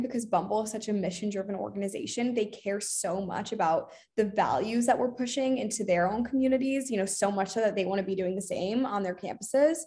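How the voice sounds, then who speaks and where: A woman with an American accent talks at a fairly quick pace and a fairly high pitch. Her voice is somewhat breathy, with ordinary pitch variation. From Boston, raised partly in London. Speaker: marketing coordinator. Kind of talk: casual interview.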